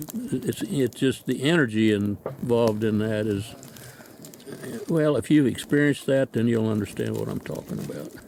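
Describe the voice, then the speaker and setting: At a moderate pace and medium pitch, a man speaks with ordinary pitch variation over noticeable background noise. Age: 80s+. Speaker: long-distance hiker. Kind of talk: interview. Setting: outdoors. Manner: halting.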